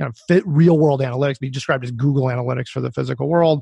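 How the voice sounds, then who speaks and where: A somewhat breathy man with an American accent, against a quiet background. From US, Colorado. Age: 30s. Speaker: startup founder and CEO. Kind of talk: interview.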